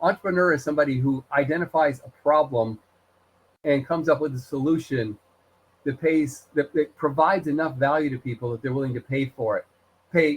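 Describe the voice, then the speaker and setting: Fairly quick, somewhat breathy speech from a man, fairly high in pitch, with fairly even intonation. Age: 60s. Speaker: college instructor. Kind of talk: online lecture. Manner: conversational, many fillers.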